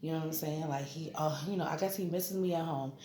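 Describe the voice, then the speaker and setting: The woman's voice comes with audible room echo and noticeable background noise. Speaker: vlogger. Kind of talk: casual vlog update. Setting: hospital room. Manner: loud; casual, conversational.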